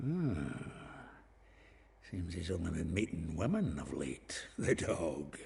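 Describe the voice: Putting on a character voice in a Scottish accent, a man speaks slowly at a low pitch with a dark, mellow tone, vocal fry and big pitch swings.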